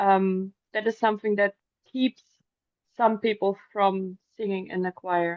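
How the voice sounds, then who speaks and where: A woman with a German accent talks at a medium pitch and fairly slow pace, with monotone, flat intonation and long, frequent pauses. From Germany. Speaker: singer. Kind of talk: interview answers. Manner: hesitant.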